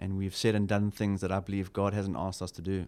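A man with a South African accent speaks very fast in a fairly low pitch. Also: very clean recording, silent background. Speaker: church pastor. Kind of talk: casual interview chat.

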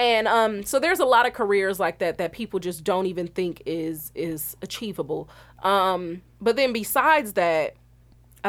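A woman's normal speaking voice at a medium pitch, with ordinary pitch variation and an American accent. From Milwaukee, Wisconsin. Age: 20s. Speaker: film director. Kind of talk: interview. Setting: studio.

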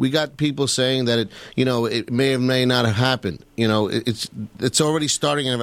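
A man's medium-pitched voice in a New York accent at a fairly quick pace. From New York (Queens). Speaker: 9/11 survivor and victims' family advocate. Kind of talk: radio talk show discussion.

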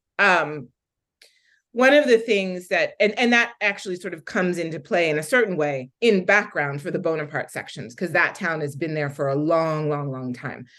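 A woman with an American accent speaks at a moderate pace and a fairly low pitch. Her pitch swings very widely, and the background is quiet. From Philadelphia, US. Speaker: novelist. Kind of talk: author interview. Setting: video call.

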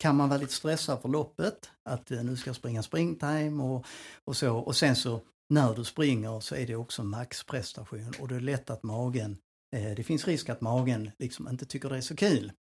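A somewhat breathy male voice at medium pitch, with ordinary pitch variation and a moderate pace, on a very clean recording with a silent background. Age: 60s. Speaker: personal trainer and nutrition adviser. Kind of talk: casual chat.

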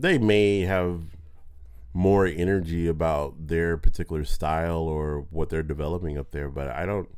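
A moderate pace, fairly even intonation and an American accent. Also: man, very deep, low pitch for a man. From Southern California (Pasadena). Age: 30s. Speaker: stand-up comedian. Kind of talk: casual chat. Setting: studio.

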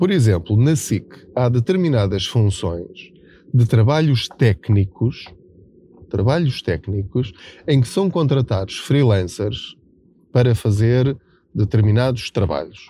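A man with a European Portuguese accent at a very slow pace, medium in pitch, dark and mellow in tone, somewhat breathy, with lively intonation and long, frequent pauses. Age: 40s. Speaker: personal finance journalist and podcaster. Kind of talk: solo monologue podcast. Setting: in a car.

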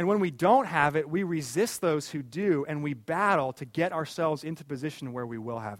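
With an ordinary speaking voice, a man talks at a fairly quick pace and a fairly high pitch, his intonation lively and his loudness swinging widely, on a very clean recording against a silent background. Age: 30s. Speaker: pastor. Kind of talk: sermon.

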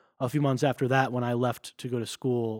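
This man talks very fast with an American accent. The sound is dry and close, with no echo. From US Northeast (New Jersey). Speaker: business school student and former startup founder. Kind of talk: casual interview.

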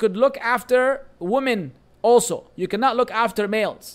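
Speaking with a Lebanese accent, a man has an extremely high pitch and lively intonation. He goes at a fairly slow pace. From Lebanon. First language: Arabic. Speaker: Islamic teacher. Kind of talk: religious lecture.

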